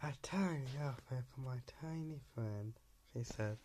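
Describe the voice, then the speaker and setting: Dark and mellow in tone, the man's voice is also somewhat breathy. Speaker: video creator reading bedtime stories. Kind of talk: bedtime story reading aloud, slightly hesitant. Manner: hesitant, filler-heavy, stumbling over words. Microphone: phone near.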